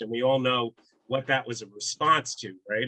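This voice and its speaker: With an American accent, a man speaks at a medium pitch in a bright, sharp tone, and the sound is dry and close with no echo. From New York City, the Bronx. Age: 60s. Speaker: baseball author. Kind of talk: casual talk, online presentation.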